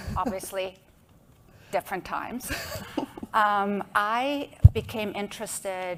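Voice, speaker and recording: A woman talks with a non-native accent. The recording is very clean, with a silent background. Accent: noticeable foreign. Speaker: association executive director, lawyer. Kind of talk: panel discussion.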